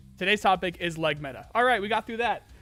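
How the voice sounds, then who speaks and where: A man speaks at a very fast pace with a high pitch and ordinary pitch variation. Music plays in the background. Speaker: gaming streamer. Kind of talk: live stream chat Q&A. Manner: halting; stutter.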